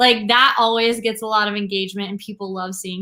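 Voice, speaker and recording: Bright and sharp in tone, a woman with a slight Southern US accent speaks at a fairly high pitch. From US South, southeast. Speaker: brand strategist. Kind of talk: live-stream tutorial. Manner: casual, lots of fillers.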